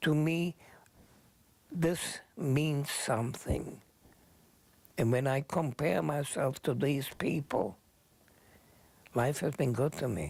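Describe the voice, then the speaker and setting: A man with a non-native accent speaks at a very slow pace, with long, frequent pauses and very even loudness. His voice is fairly high in pitch, with vocal fry. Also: ordinary pitch variation. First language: not English. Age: 80s+. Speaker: Holocaust survivor. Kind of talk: talk to students.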